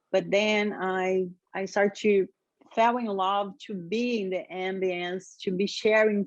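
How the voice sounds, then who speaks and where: A woman's medium-pitched voice in a Brazilian Portuguese accent, very slow and with fairly even intonation. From Brazil, Rio de Janeiro. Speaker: yoga teacher. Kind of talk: interview.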